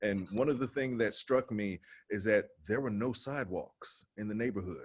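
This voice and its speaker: A man with an American accent: a plain, everyday voice, medium pitch, ordinary pitch variation and a moderate pace. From Cincinnati, Ohio, US Midwest. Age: 40s. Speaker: actor, former IT manager. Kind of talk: casual interview chat.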